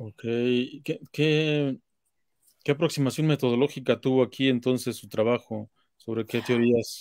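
An ordinary speaking voice from a man at medium pitch, fairly slow, with fairly even intonation, big swings in loudness, a quiet background and a dry sound with no echo. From Mexico. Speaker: interviewer, online talk series host. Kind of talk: interview. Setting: live stream. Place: home room. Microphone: webcam.

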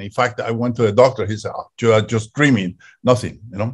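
A man speaks at a very fast pace, his voice somewhat breathy. The background is quiet. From Colombia. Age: 70s. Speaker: psychedelic researcher and panelist; panelist. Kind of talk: panel discussion. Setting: video call. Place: home room. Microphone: video call.

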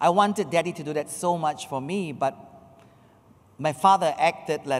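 Moderate speed and ordinary pitch movement from a male speaker. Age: 50s. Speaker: pastor and ministry speaker. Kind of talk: testimony talk with interpreter. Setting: church audience. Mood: earnest personal testimony. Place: church. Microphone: handheld.

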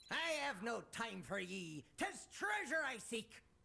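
A fairly high put-on character voice moves at a fairly slow pace with very wide pitch swings. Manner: gruff, archaic treasure-hunter.

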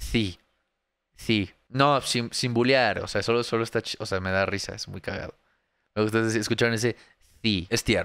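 Against a quiet background, a man speaks at a fairly slow pace with long, frequent pauses and fairly even intonation, the sound dry with no echo. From Mexico. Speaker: streamer reacting to videos. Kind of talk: casual live stream commentary. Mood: sarcastic, mocking. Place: home room. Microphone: studio mic.

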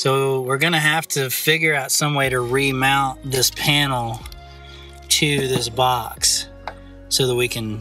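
A man speaking fairly slowly in a monotone, flat delivery over faint background music. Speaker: homesteader vlogger. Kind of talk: casual vlog chat. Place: open country. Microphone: phone near.

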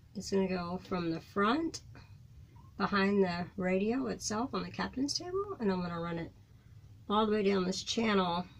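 A woman speaks with lively intonation over audible room echo. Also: medium pitch for a woman, moderate pace.

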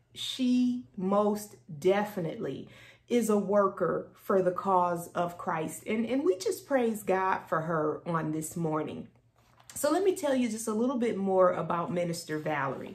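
A somewhat breathy woman at a fairly slow pace, with lively intonation. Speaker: pastor. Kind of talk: worship service introduction. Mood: warm, grateful. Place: office. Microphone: phone near.

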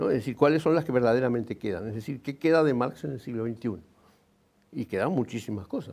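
A man speaks very fast, with ordinary pitch variation. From Uruguay, Montevideo; Uruguay. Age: 70s. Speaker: engineer and writer; interviewee. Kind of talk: TV interview. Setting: TV studio. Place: studio. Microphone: lapel.

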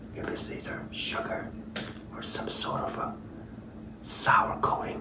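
Whispering at a fairly slow pace, a man is heard. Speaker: food reviewer. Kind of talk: casual vlog chat. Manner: soft, hushed ASMR-style speech. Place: kitchen. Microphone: phone near.

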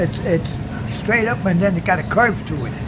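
A man talks at moderate speed, with noticeable noise in the background. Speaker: war veteran. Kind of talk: interview answer. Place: cafe. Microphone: phone near.

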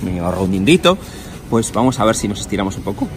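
A man's voice in a Spanish accent, with clear music in the background. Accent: Spanish (Spain). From Spain. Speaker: travel vlogger. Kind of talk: casual vlog walkthrough. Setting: on location, stadium shop and museum. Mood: jokey, playful teasing. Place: street.

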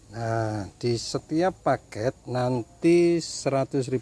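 Lively intonation runs through this man's speech. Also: dry sound with no echo. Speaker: orchid nursery seller. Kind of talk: hawker-style sales pitch, repeating prices and bonuses. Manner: repetitive, circling back to the same offer; casual, chummy patter with filler words. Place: garden. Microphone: phone near.

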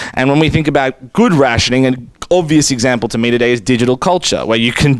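A man with an Australian accent speaks very fast in a dry recording with no echo. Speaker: law professor, panelist. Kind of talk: panel discussion; panel presentation. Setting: conference room with audience. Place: meeting room. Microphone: podium.

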